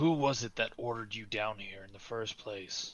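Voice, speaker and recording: A man puts on a growling character voice at a medium pitch and a moderate pace. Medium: actual play.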